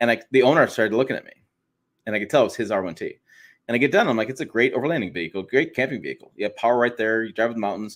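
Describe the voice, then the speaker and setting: A man at a medium pitch and a very fast pace, on a very clean recording with a silent background. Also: ordinary pitch variation. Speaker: automotive podcast host. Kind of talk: casual chat. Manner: loud.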